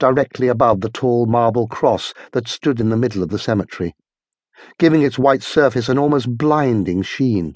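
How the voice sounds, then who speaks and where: Against a quiet background, a man with a plain, everyday voice speaks at a moderate pace with a medium pitch. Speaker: audiobook narrator. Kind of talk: dramatic audiobook narration of horror/sci-fi fiction. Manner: suspenseful, vivid, building tension with changes of pace.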